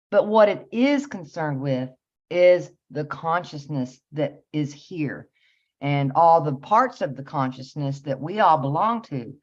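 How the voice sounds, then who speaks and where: Against a quiet background, a woman with a very deep, low pitch speaks at a fairly slow pace with lively intonation. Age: 50s. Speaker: spiritual teacher. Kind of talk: interview.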